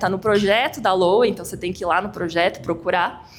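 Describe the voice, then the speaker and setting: Audible room echo surrounds a woman as she talks. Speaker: tax lawyer presenting at a firm event. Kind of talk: lecture. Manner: fast.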